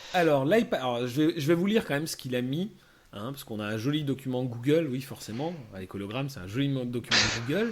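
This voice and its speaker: Talking very fast, a man uses lively intonation with big swings in loudness. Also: medium pitch for a man. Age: 30s. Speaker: podcast host. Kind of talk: casual chat.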